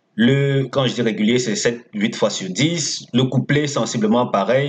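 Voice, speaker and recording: A somewhat breathy man with a non-native accent speaks at medium pitch and a moderate pace, with ordinary pitch variation. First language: not French (speaking French). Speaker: horse racing tipster. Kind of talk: tips video with sales pitch. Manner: casual, conversational.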